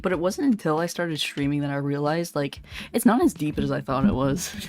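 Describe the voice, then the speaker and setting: A woman with a West Coast US accent talks at a very fast pace with lively intonation. Her pitch is very deep and low. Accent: General American, West Coast. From California. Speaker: vtuber streamer. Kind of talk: casual chat.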